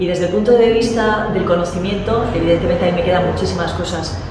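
A woman talks very fast amid noticeable background noise. The room echo is strong. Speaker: guest. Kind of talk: interview answer. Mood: warm, earnest appeal. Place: hall.

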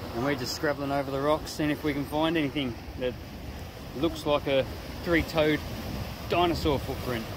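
Moderate-paced speech in a dry sound with no echo, with noticeable background noise. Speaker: family travel vlogger. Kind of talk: casual vlog chat. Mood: relaxed, upbeat. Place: waterside. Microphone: phone near.

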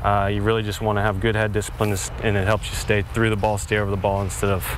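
Over noticeable background noise, the voice races at a very fast pace with fairly even intonation and a dry sound with no echo. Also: man. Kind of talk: interview answer. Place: stadium.

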